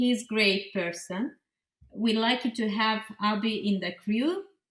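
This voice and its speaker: Speaking with a non-native accent, a woman uses lively intonation. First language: not English. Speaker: pixel artist and graphic designer. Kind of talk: interview. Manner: halting, with many fillers and restarts.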